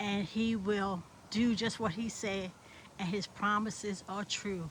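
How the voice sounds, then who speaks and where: Woman's fairly high, somewhat breathy voice at a very slow pace, the intonation fairly even. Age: 70s. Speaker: vlogger. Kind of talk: casual vlog with religious encouragement. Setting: outdoors.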